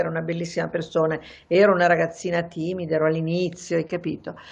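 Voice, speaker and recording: A woman's fairly low pitch with monotone, flat intonation. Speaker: journalist and writer; journalist. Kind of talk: interview. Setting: terrace. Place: home room. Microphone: video call.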